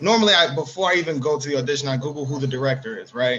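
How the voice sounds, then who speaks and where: This man has a New York accent. He talks at a very fast pace. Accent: New York, Harlem. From New York, Harlem. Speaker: actor. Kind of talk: casual panel discussion.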